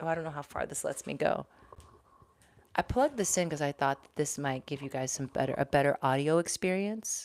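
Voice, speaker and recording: A woman's very deep, low voice with vocal fry, ordinary pitch variation and a moderate pace. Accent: American. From Texas, Houston. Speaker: YouTuber, former news anchor. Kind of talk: livestream chat. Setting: home office. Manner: animated.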